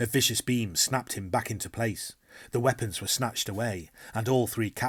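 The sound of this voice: Here is an unforced reading voice. The text is read out loud.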